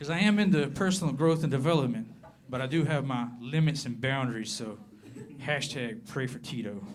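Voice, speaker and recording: In a room with audible echo, a man with a fairly high pitch talks at a fairly quick pace with lively intonation. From southern Appalachia, US. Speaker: comedian. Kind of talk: stand-up. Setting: stage with audience.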